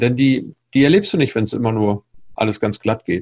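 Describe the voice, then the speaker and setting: The recording sounds dry and close, without any echo. It carries a man's somewhat breathy voice. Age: 50s. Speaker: entrepreneur and public speaker. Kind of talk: interview.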